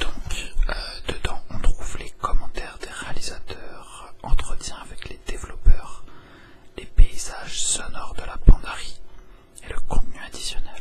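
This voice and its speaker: Whispering at a very slow pace, a man swings widely in loudness over noticeable background noise. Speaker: ASMR YouTuber, game collector unboxing. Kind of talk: casual talk to camera, unboxing.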